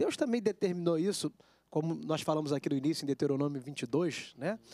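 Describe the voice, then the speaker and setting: Lively intonation from a man at a moderate pace against a quiet background. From Brazil. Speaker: TV show host. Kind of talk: casual chat. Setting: studio. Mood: earnest religious reflection. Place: studio. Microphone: handheld.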